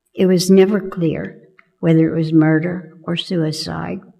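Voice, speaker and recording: Audible room echo surrounds a woman speaking very slowly with an American accent. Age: 80s+. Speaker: church member. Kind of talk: personal testimony read aloud. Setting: church.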